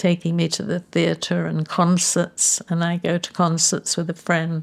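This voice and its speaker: A woman in an English accent, fairly low in pitch and at a fairly slow pace, in a very clean recording with a silent background. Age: 80s+. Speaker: patient sharing her experience. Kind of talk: testimony.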